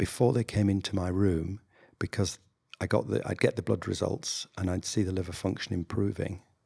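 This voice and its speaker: In a northern English accent, a man speaks at a moderate pace with a very deep, low pitch and a dark, mellow tone, somewhat breathy. The recording is very clean, with a silent background and a dry, close sound with no echo. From northern England. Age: 60s. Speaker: general practitioner doctor. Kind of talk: interview conversation. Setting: video podcast.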